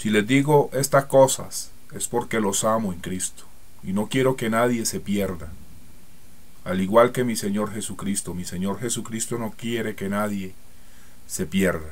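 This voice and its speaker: A man speaks fairly slowly with a fairly low pitch and ordinary pitch variation. Audible room echo surrounds his voice. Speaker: preacher. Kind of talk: sermon. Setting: church.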